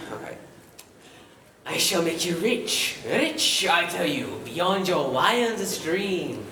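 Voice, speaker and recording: A put-on character voice at a middle pitch moves at a very slow pace, with clear echo around it. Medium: stage play. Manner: gruff, impatient.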